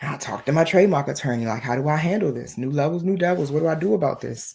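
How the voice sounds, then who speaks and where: A woman speaks very fast in a very deep, low voice, her tone animated. Her intonation is lively, and the recording is very clean with a silent background. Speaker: spiritual business coach. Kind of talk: motivational talk.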